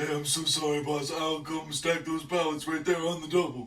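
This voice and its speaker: A man puts on a character voice at a fairly high pitch. His delivery is monotone and flat at a moderate pace. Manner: eager, apologetic.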